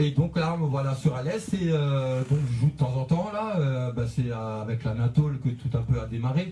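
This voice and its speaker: At a moderate pace with hardly any pauses, a man talks in a medium pitch with ordinary pitch variation against noticeable background noise. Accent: northern French. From northern France. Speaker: DJ. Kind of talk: radio interview. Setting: radio studio. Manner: hesitant, many fillers.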